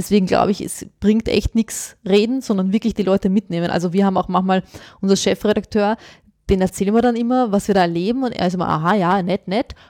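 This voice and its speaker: In a non-native accent, a woman talks at a very fast pace with a medium pitch, fairly even intonation and a dark, mellow tone, the sound dry and close with no echo. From born abroad, grew up in Austria. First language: not German (speaking German). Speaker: journalist, former teacher. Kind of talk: interview.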